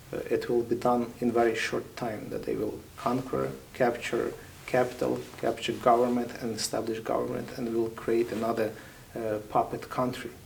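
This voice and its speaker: A man speaks with a Ukrainian accent at a moderate pace. Noticeable noise sits in the background. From Ukraine. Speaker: military chaplain. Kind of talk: interview.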